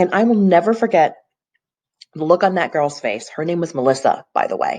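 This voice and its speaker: With lively intonation, a woman speaks fairly quickly in a fairly low pitch. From US South, Tennessee. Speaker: real estate agent. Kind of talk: personal video monologue. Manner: earnest, reflective.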